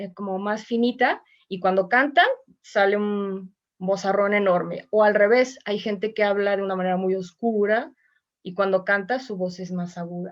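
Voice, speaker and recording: Fairly even intonation from a woman, delivered at a moderate pace. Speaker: voice teacher and choir singer. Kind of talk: online mini class.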